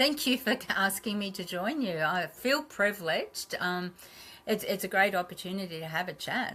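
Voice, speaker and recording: A woman with an Australian accent speaks at a moderate pace in a medium pitch, her intonation lively and her tone bright and sharp. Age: 60s. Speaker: naturopath and health clinic owner. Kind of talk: podcast interview.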